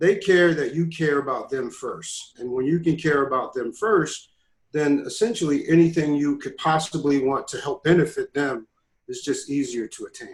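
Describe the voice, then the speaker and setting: A man with an American accent speaks at a moderate pace, his loudness swinging widely. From New Jersey. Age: 50s. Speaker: youth mentor and motivational speaker. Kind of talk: casual chat.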